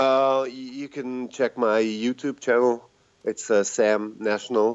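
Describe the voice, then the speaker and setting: A man of medium pitch with a Swiss German accent, fairly even intonation, music in the background. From Switzerland, Zurich. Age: 40s. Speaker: rapper and teacher. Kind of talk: casual interview.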